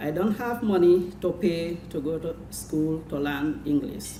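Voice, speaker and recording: Heard with audible room echo, a woman with a Senegalese accent talks in a very deep, low pitch with lively intonation. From Gambia. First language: Jola. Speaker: adult literacy student. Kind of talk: prepared speech.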